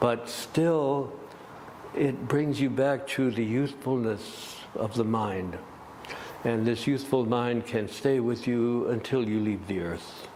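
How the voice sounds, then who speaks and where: Against noticeable background noise, a man speaks at a very slow pace, medium pitch and ordinary pitch variation. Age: 80s+. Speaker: gong master, musician and yoga teacher. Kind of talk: interview answer.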